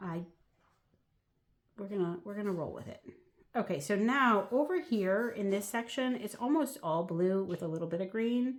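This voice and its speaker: An ordinary speaking voice from a woman, lively in intonation, at a moderate pace. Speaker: watercolor artist. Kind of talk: tutorial. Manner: casual, chatty.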